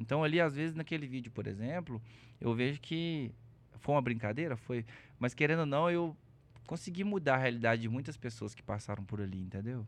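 Against a quiet background, an ordinary speaking voice moves at a fairly quick pace with lively intonation. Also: man, medium pitch for a man. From Belo Horizonte, Minas Gerais, Brazil. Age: 30s. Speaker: content creator. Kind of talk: casual chat.

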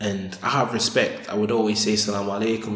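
Amid noticeable background noise and audible room echo, a man talks at a very fast pace with a fairly low pitch and fairly even intonation. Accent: Sheffield. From northern England, Sheffield. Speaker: convert sharing his life story. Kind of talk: interview, personal testimony.

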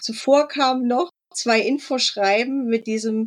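In an ordinary speaking voice, a woman talks with a fairly high pitch and fairly even intonation. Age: 40s. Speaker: online shop owner. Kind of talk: interview.

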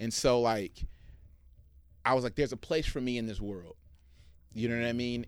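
With long, frequent pauses, a man of medium pitch speaks at a moderate pace and with fairly even intonation. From East Oakland, California. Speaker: music producer and crew member. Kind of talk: interview conversation.

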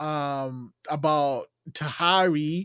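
In a Nigerian accent, a man talks with ordinary pitch variation. The recording is very clean and dry, close with no echo, over a silent background. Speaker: podcast host. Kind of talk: interview.

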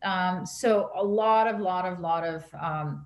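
A somewhat breathy woman is heard with audible room echo. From Canada. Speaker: marketing strategist. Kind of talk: interview.

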